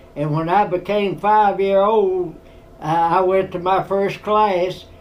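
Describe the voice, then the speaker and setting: In a Tennessee accent, a man with a high voice speaks very slowly and in a flat monotone, with noticeable background noise. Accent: rural Tennessee Southern. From US South, Tennessee. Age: 90s. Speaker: war veteran. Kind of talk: storytelling interview. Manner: halting.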